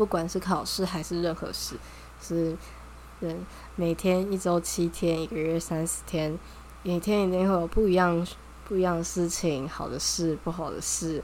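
Through noticeable background noise, a woman with a fairly low pitch speaks at a fairly slow pace. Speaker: podcast host, journalism student. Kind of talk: casual solo talk. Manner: animated.

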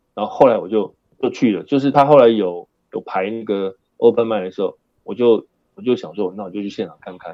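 This man's pace is fairly quick, with ordinary pitch variation. He has an unremarkable speaking voice. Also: medium pitch for a man, big swings in loudness. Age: 60s. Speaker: high school performing arts teacher. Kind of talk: casual interview chat.

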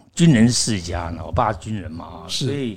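Lively intonation at a fairly slow pace. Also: man. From Taiwan. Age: 60s. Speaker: actor and acting teacher. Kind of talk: interview storytelling. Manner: animated.

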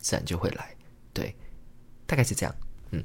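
A man speaks with lively intonation. His voice carries vocal fry. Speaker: podcast host, engineer and amateur stand-up comedian. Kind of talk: solo casual monologue. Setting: home recording, alone at a microphone. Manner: hesitant, many filler words.

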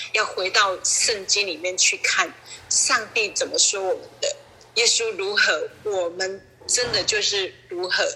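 A woman speaking very slowly over noticeable background noise. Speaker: church member. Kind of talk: testimony. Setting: online call.

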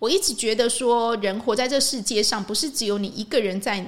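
This woman, with a Taiwanese accent, talks at a moderate pace in a fairly high pitch with lively intonation. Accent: Taiwanese Mandarin. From Taiwan, Changhua. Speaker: podcast host and energy healing teacher. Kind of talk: casual monologue.

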